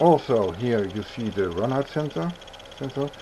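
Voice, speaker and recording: Over noticeable background noise, a man of medium pitch talks at a fairly slow pace with lively intonation. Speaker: 3D printing hobbyist YouTuber. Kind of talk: tutorial. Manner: halting.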